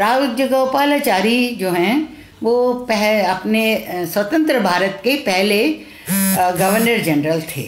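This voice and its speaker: There is audible room echo around a woman's fairly high voice. Her intonation is lively. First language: Tamil (speaking Hindi). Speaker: retired teacher and children's author, translator. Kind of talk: live-streamed talk. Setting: Facebook live stream. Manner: halting, with many fillers.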